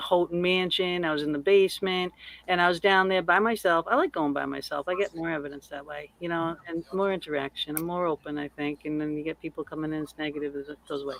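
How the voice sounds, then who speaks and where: The speaker talks fairly quickly in a Massachusetts accent with ordinary pitch variation. The sound is dry and close, with no echo. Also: woman. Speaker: paranormal investigator, podcaster. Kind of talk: casual chat.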